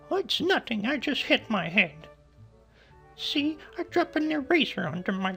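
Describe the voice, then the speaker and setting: Using a put-on character voice at an extremely high pitch, a man speaks at a moderate pace with very wide pitch swings over clear music in the background. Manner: strained, trying to sound casual.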